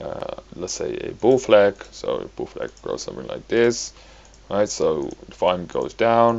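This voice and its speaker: Speaking fairly slowly with a non-native accent, a man's voice shows big swings in loudness. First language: not English. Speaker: crypto trading analyst. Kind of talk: tutorial. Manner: halting, many fillers.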